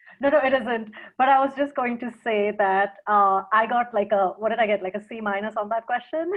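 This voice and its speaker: A woman in an ordinary speaking voice talks at a fairly quick pace with hardly any pauses, her fairly high pitch showing ordinary pitch variation. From mixed: India, Africa, England, US. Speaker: consultant and speaker. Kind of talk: casual interview. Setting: video call.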